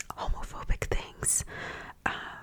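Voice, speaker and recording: Whispering at a very slow pace comes through over noticeable background noise. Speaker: ASMR creator and book reviewer. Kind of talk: whispered casual chit-chat to camera about books. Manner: whispered, ASMR-style.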